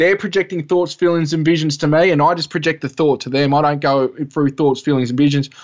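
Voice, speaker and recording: With an Australian accent, a man speaks at a fairly high pitch and with fairly even intonation. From Australia (Albury, NSW). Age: 30s. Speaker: filmmaker and UFO experiencer. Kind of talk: interview.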